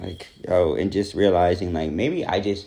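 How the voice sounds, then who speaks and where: A man talks in an American accent. His voice has vocal fry. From New Jersey, US. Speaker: vlogger. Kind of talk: personal vlog monologue. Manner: reflective, casual with fillers.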